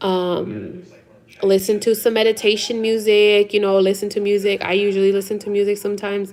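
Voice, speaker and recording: The speaker has a Spanish accent. Noticeable background noise runs under the voice. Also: woman. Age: 30s. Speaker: live-stream host. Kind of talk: casual chat. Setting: home live stream. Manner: animated.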